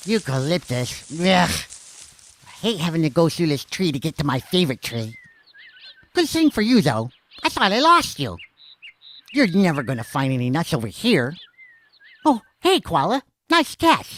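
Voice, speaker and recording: A put-on character voice at a middle pitch and moderate pace, broken by long, frequent pauses. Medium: read story. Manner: chatty, casual.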